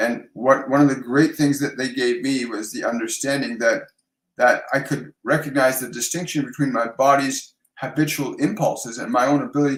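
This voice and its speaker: In a Canadian accent, a man with a plain, everyday voice talks at a moderate pace, his pitch fairly high with ordinary variation. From Canada. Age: 60s. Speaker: psychic medium and life coach. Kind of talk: live stream Q&A, spiritual advice. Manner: warm, conversational with frequent fillers.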